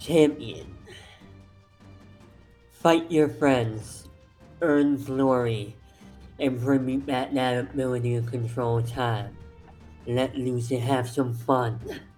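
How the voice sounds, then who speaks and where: With faint music behind it, a croaky put-on character voice at a low-to-middle pitch crawls along at a very slow pace with long, frequent pauses. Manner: commanding, playful.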